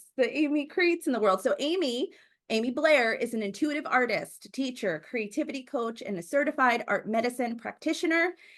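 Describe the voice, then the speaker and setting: The voice is loud and animated in tone. The background is quiet. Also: woman. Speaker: podcast host. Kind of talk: casual interview chat. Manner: bold, animated.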